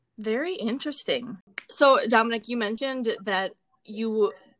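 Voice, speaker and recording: Speaking at a fairly slow pace, a woman uses a fairly high pitch. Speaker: podcast host. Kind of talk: casual interview. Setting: video call. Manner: energetic, upbeat.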